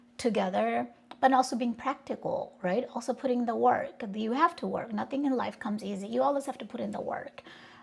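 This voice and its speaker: A woman with a Bengali accent. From Bangladesh, then Texas from age 12. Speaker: personal growth vlogger. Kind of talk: casual introduction vlog. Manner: casual with many fillers.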